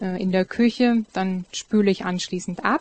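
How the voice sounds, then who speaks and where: Amid noticeable background noise, a woman at medium pitch speaks at a very slow pace. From Zerbst, Saxony-Anhalt, later western Germany. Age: 30s. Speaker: Protestant nun. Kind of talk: panel discussion.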